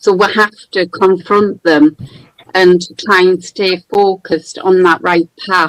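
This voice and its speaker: A woman with a County Durham accent speaks very slowly at a medium pitch. Her intonation is monotone and flat, and the sound is dry and close with no echo. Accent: northern English (County Durham). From northern England, County Durham. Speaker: caller. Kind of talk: testimony.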